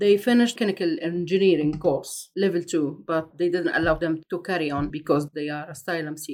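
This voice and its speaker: A woman with an Egyptian accent, fairly low pitch, ordinary pitch variation, a fairly quick pace and hardly any pauses. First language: Arabic. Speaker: asylum seeker. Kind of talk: personal testimony. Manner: halting.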